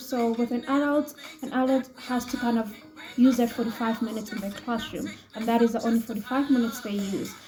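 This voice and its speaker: With music in the background, a woman speaks at a moderate pace in a high pitch. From South Africa, Johannesburg. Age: 20s. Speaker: ESL teacher. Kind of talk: self-introduction video. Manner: hesitant, many fillers.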